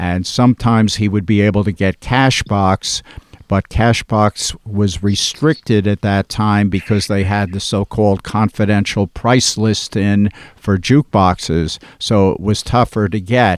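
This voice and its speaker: In an ordinary speaking voice with an American accent, a man talks at a fairly slow pace with fairly low pitch and fairly even intonation, on a very clean recording with a silent background and a dry, close sound with no echo. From New Jersey, West Orange near Newark. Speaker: record collector and label founder. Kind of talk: interview storytelling.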